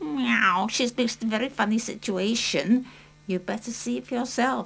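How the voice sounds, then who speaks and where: A woman puts on a cartoonish character voice. It is fairly high-pitched and moves at a moderate pace. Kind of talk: children's puppet play. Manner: cheeky, punning, says meow.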